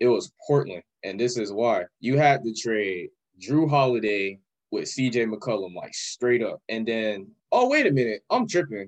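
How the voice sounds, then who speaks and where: In an American accent, a man with an ordinary speaking voice talks at a fairly slow pace, at medium pitch with ordinary pitch variation. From Orlando, Florida. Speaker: podcast guest, shoe cleaning business owner. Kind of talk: casual chat.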